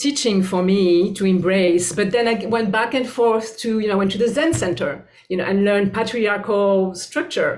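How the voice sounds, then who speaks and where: With a French accent, a woman speaks at a moderate pace with hardly any pauses and very even loudness. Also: medium pitch for a woman, ordinary pitch variation. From France. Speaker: bodyworker and spiritual teacher. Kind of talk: interview. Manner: halting.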